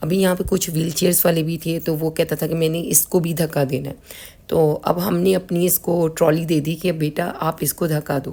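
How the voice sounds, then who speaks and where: A woman's fairly low, dark, mellow voice in a flat monotone at a moderate pace. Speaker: vlogger. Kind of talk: travel vlog narration.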